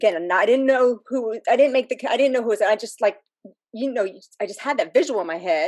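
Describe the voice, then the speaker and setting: Lively in intonation, a woman with an American accent speaks. Her pace is very fast. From US South, Miami, Florida. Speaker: fan community member. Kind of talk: personal story in casual group chat.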